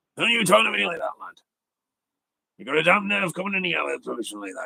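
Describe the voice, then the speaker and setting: A man puts on a character voice. He raises and projects it. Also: fairly quick pace. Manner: gruff, testy, confrontational.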